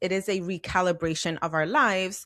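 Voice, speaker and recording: The recording is very clean, its background silent. A woman talks in a bright, sharp tone. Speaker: podcast host. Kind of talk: podcast monologue. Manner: conversational.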